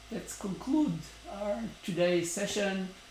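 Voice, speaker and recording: Room echo is audible, with noticeable background noise. Through it, a man speaks with ordinary pitch variation. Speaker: startup founder vlogger. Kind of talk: daily video update monologue. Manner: hesitant, many fillers.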